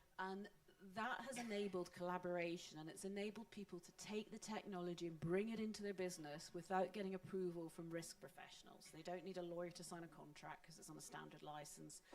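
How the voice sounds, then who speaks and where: A woman with a Scottish accent talks at a very fast pace with hardly any pauses and fairly even intonation. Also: medium pitch for a woman. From Scotland. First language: Scots. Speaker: panelist on open source. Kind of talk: panel discussion.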